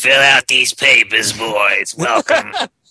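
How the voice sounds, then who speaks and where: A raspy, put-on character voice from a man at a fairly slow pace. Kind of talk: bureaucratic, welcoming clerk.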